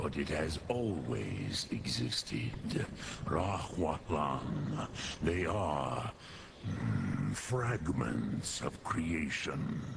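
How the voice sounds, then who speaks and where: Over clear background noise, a man uses a put-on character voice with a very deep, low pitch at a very slow pace. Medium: short film. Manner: slow, solemn, mixing dragon words.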